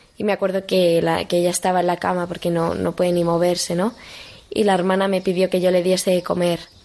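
A woman talks very fast at a fairly low pitch, her intonation monotone and flat. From Spain, Madrid. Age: 18. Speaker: young missionary volunteer. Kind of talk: interview testimony. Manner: halting, with frequent repetitions and fillers.

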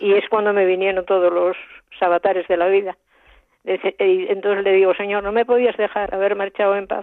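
A woman's medium-pitched voice, monotone with flat intonation, at a fairly quick pace. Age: 80s+. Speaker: radio listener caller. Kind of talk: testimony.

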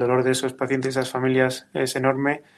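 This is a man speaking at a medium pitch. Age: 30s. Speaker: ICU nurse. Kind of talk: testimony.

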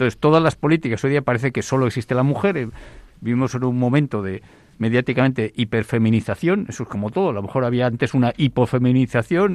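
Speaking very fast with lively intonation, a man of medium pitch is recorded dry and close with no echo. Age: 60s. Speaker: demography expert. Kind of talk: radio panel discussion.

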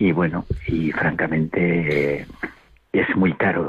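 A man's monotone, flat delivery. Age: old. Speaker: retired caller. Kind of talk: phone-in call.

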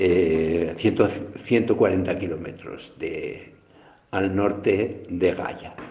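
Very slow and fairly even in intonation, a man speaks with a very deep, low pitch. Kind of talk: recorded audio message. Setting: self-recorded audio sent from abroad.

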